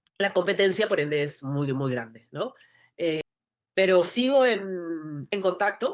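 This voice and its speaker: In a Lima accent, a woman speaks at a fairly slow pace. Her pitch sits in the medium range. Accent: Peruvian, Lima. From Peru, Lima. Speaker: actress. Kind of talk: interview conversation. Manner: halting.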